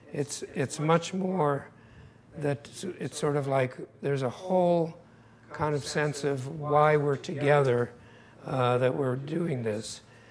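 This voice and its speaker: At a very slow pace, a man with a fairly high pitch speaks in fairly even intonation, pausing long and often. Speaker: design firm founder and CEO. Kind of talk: talk to a live audience. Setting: room with live audience. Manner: hesitant, many fillers. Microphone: too quiet for the room.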